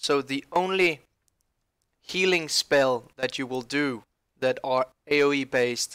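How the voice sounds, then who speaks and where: A man's bright, sharp voice, dry and close with no echo. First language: not English. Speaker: gaming youtuber. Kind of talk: game tutorial.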